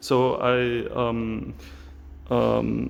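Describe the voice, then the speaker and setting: Here a man talks with an Austrian accent. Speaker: knife maker. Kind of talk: casual talk to camera, workshop tour. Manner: hesitant, many fillers. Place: workshop. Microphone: phone near.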